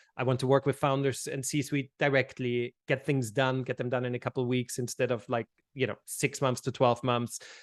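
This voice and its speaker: A man with an Austrian accent speaks at a medium pitch and a fairly quick pace. His intonation is monotone and flat. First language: German. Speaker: brand consultant. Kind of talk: podcast interview. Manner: repetitive, halting starts.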